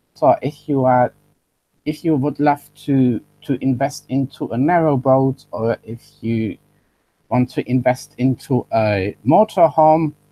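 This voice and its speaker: Dry and close with no echo, a man's dark, mellow tone carries a German accent at a fairly slow pace. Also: medium pitch for a man, ordinary pitch variation. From Germany. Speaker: online business presenter. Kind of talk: webinar sales pitch. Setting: webinar live stream. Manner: halting, self-correcting.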